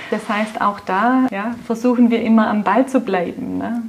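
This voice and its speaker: A woman in a Swabian accent speaks with a fairly high voice and fairly even intonation. Noticeable background noise is present. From Swabia, Germany. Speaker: car dealership group executive. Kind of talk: interview. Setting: in person at a car dealership.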